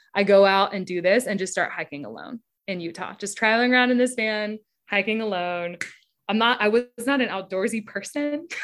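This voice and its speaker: A woman's medium-pitched voice at a fairly quick pace with ordinary pitch variation, over music in the background. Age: 30s. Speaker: advertising copywriter. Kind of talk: casual chat.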